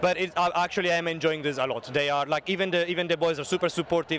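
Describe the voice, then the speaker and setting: With an Italian accent, a man with fairly high pitch keeps his intonation fairly even despite noticeable background noise. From Italy. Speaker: school music teacher and brass band leader. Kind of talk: interview.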